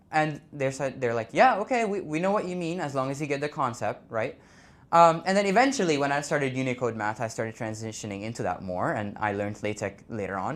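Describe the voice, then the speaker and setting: A man's fairly high voice with very wide pitch swings, a fairly quick pace and hardly any pauses. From India. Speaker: blind university student. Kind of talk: conference talk.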